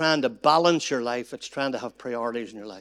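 A man with a fairly high pitch is captured in a very clean recording against a silent background. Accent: Northern Irish. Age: 60s. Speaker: pastor. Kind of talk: seminar talk.

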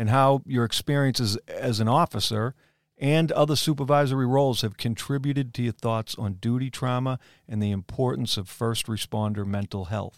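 In a very clean, dry, close recording with a silent background and no echo, a man with a normal speaking voice talks at a fairly quick pace at medium pitch with fairly even intonation. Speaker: podcast host. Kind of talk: scripted intro then discussion.

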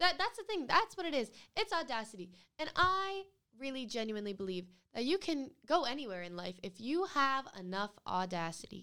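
A woman's raised, projected voice with an American accent, high in pitch with very wide pitch swings, at a moderate pace. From US Northeast, Rhode Island. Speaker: podcast co-host. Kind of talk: casual chat.

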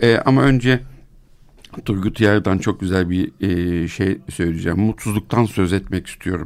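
Very deep and low, a man's voice moves at a fairly slow pace. The recording is very clean, with a silent background. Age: 50s. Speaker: psychiatrist and podcast co-host. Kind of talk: casual discussion.

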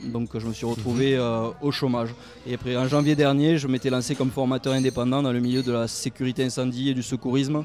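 A man's fairly quick, monotone, flat delivery at a medium pitch amid noticeable background noise. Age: 20s. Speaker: politician. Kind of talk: interview. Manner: halting.

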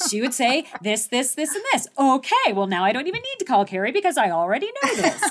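Speaking at a fairly quick pace with hardly any pauses, a woman uses a high pitch with very wide pitch swings, and noticeable background noise can be heard. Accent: General American. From US Southwest, Phoenix, Arizona. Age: 50s. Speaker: mountaineer and leadership speaker. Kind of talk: interview.

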